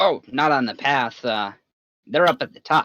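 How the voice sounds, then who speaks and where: Someone puts on a raspy character voice at a moderate pace. The recording is very clean, with a silent background. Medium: actual play. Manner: rambling, hesitant, folksy.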